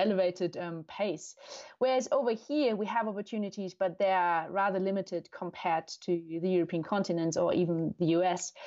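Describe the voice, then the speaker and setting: A woman with a German accent speaks at a fairly quick pace and medium pitch, with ordinary pitch variation and a dark, mellow tone. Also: quiet background. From Germany. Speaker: neuroscientist and endurance cyclist. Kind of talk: casual interview.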